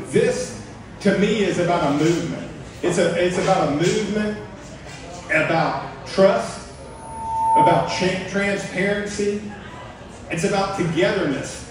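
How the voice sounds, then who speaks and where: Over loud background noise and audible room echo, a man talks at a fairly slow pace with long, frequent pauses. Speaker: candidate. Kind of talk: campaign speech. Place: bar.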